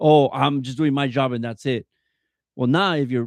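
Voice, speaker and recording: A loud man with an American accent, medium pitch and ordinary pitch variation. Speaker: youth soccer coach. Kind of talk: casual podcast interview. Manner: halting, many fillers.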